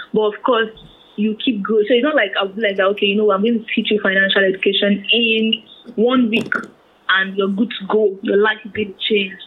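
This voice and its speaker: A woman's fairly high voice in a flat monotone at a moderate pace, over noticeable background noise. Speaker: personal finance blogger. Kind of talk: interview.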